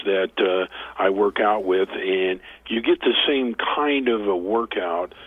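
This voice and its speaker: A man's fairly low voice at a very slow pace, with ordinary pitch variation. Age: 60s. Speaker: author and motivational speaker. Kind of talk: interview. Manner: halting.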